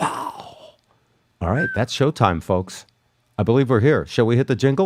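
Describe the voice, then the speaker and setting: A man's medium-pitched voice with vocal fry, lively intonation and a moderate pace. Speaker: radio show host. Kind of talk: casual radio banter, talking live on a livestream.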